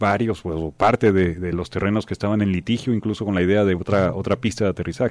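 His tone is dark and mellow. The man talks at a fairly quick pace. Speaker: radio co-host. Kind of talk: radio news and analysis show. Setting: radio studio.

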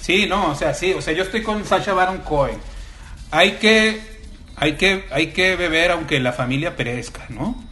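A raised, projected voice with lively intonation moves at a fairly slow pace, with audible room echo and noticeable background noise. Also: man, high pitch for a man. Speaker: writer. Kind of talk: casual chat.

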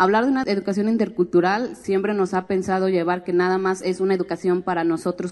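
A woman talks at a fairly quick pace in a plain, everyday voice, her intonation fairly even. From Mexico, Guadalajara and Oaxaca. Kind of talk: talk at a public forum.

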